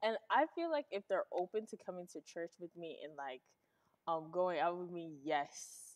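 A woman at a fairly low pitch and a moderate pace, with ordinary pitch variation and a quiet background. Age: young. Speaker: host's teenage daughter. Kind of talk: casual interview. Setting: live stream. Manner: casual with many fillers. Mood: relaxed, smiling. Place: studio.

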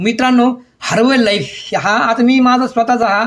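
This man's voice is extremely high in pitch. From Maharashtra, Ahilyanagar district village. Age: 60s. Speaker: wellness coach. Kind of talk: personal testimony vlog.

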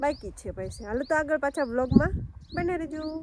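A woman speaks with ordinary pitch variation, recorded with a dry, close sound and no echo. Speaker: farming vlogger. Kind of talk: casual vlog narration. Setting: outdoors on a farm.

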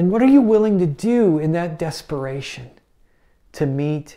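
With a dark, mellow tone and vocal fry, a man speaks at a moderate pace using big pitch swings.

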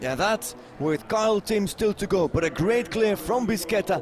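A man with a high pitch talks at a fairly slow pace with lively intonation, against noticeable background noise. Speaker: show jumping commentator. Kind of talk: live sports commentary on show jumping, delivered over the action. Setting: live at the venue with the crowd. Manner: formal, statistics-heavy, informative.

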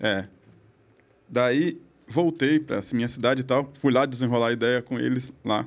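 A man talks at medium pitch and a moderate pace. His intonation is fairly even, with long, frequent pauses. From southern Brazil, Criciúma, Santa Catarina; Santa Catarina, Brazil. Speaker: podcast guest. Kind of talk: casual chat. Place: studio. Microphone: studio mic.

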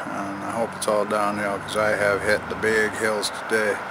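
At a moderate pace, a man speaks in a dry sound with no echo, with noticeable background noise behind him. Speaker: bike traveler vlogger. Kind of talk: casual vlog chat. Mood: upbeat, looking forward. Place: street. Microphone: phone near.

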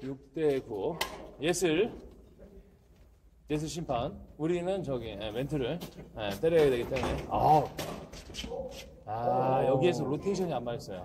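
Speaking at a fairly slow pace with long, frequent pauses, a man uses a fairly high pitch and lively intonation over noticeable background noise. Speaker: badminton match commentator. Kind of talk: live sports commentary.

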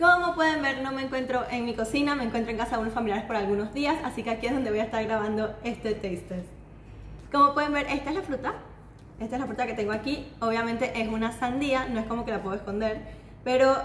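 Talking at a very fast pace, a woman is heard with audible room echo and light background noise. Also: ordinary pitch variation. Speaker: food channel host. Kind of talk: casual food vlog presentation. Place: kitchen. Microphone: camera far.

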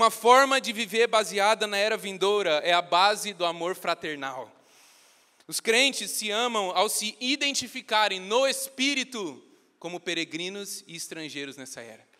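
A man's raised, projected voice, high in pitch, with lively intonation, an animated tone, big swings in loudness and a moderate pace, over a quiet background. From Brazil. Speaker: preacher. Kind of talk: sermon. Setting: church. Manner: earnest, teaching-style, urgent; animated, conversational, joking with the congregation. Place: church. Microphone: handheld.

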